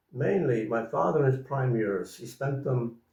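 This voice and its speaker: Somewhat breathy, a man with a west of Ireland accent talks at a medium pitch. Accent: west of Ireland Irish. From Ireland (County Mayo). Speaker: farmer. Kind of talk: interview. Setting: home. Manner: halting.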